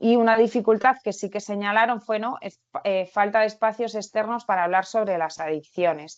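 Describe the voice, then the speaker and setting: At a medium pitch and moderate pace, a woman talks with fairly even intonation and hardly any pauses, the background quiet. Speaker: researcher and occupational therapist. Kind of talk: webinar presentation. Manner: halting.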